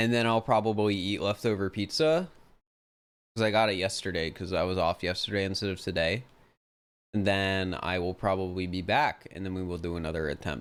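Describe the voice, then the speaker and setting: A man with an American accent and a very deep, low voice, at a fairly quick pace with ordinary pitch variation, on a very clean recording with a silent background. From United States. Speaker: video game streamer. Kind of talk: casual live stream chat.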